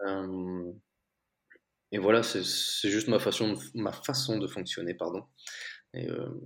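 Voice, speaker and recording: A man speaks at a very slow pace. Long, frequent pauses break up his ordinary pitch variation. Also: fairly low pitch for a man, very clean recording, silent background. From Belgium. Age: 20s. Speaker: entrepreneur. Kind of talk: interview.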